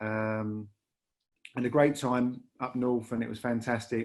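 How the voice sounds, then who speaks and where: In a Lancashire accent, a man talks at medium pitch with monotone, flat intonation. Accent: Lancashire, northern English. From northern England, Lancashire (Bury). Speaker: rail industry leader. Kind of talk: podcast interview. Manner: halting, many repetitions and fillers.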